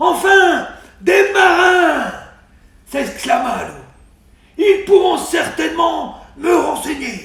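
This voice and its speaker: In a put-on character voice, a man speaks very slowly with long, frequent pauses, his raised, projected voice extremely high in pitch and carrying a slight echo. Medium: read story. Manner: eager, excited.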